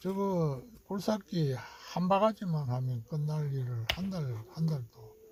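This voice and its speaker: A man's lively intonation comes through as he talks very slowly. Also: fairly high pitch for a man. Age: 70s. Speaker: retired hobby farmer vlogger. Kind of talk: casual video diary narration. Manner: halting, with many fillers.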